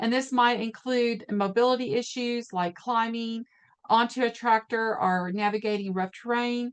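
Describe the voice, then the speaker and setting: A woman speaks at a moderate pace in an unremarkable speaking voice. Her pitch is fairly high, and her intonation stays fairly even. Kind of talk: webinar presentation. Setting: online webinar.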